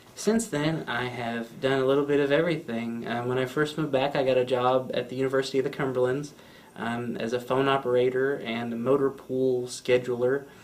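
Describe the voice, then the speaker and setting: In a plain, everyday voice, a man speaks at a fairly quick pace and medium pitch with fairly even intonation and hardly any pauses. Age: 20s. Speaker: interviewee with spinal cord injury. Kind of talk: interview testimony. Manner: casual with frequent fillers.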